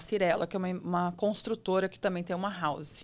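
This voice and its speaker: In a very clean recording with a silent background, a woman speaks with a São Paulo interior accent. Her pitch is medium and her pace moderate. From interior of São Paulo state, Brazil. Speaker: real estate agent. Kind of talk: podcast interview. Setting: studio. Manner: hesitant, with many fillers.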